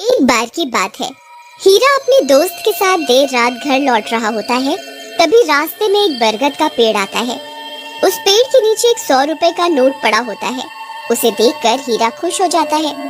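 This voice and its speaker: A cartoonish character voice with a high pitch and very wide pitch swings plays over faint music in the background. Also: moderate pace. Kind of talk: children's cartoon narration.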